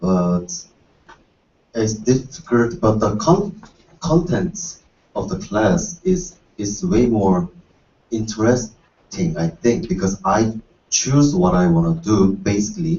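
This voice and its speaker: A man's medium-pitched voice at a very slow pace, with very wide pitch swings and long, frequent pauses. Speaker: university student. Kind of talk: panel discussion. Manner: halting.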